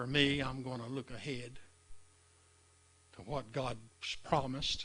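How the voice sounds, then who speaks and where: A man at medium pitch speaks in a bright, sharp tone at a fairly slow pace, his intonation monotone and flat. His loudness swings widely, and room echo is audible. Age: 70s. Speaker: preacher. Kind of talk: sermon. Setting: live stream.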